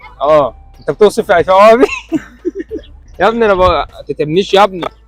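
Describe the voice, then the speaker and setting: Music sits in the background behind a man's high voice, dry and close with no echo. He keeps a moderate pace with ordinary pitch variation. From Egypt. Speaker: actor. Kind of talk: street interview, asking passers-by questions.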